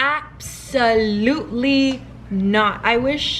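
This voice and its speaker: Audible room echo surrounds the recording, with noticeable background noise as well. A woman talks, her pitch varying in an ordinary way. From Miami, Florida (Cuban American family). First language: Spanish. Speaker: beauty and lifestyle vlogger. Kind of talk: casual get-ready-with-me Q&A. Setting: at home, filming with vlog camera.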